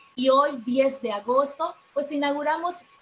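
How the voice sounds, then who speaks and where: A woman talks fairly slowly, her pitch varying in an ordinary way, with light background noise behind her. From Mexico. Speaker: seminar director, teacher; teacher. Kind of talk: formal opening speech. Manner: formal. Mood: warm, earnest. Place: home room. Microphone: video call.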